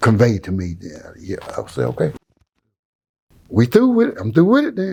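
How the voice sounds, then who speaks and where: Dark and mellow in tone, a man talks with an American accent. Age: 70s. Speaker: pastor. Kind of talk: interview storytelling. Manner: halting.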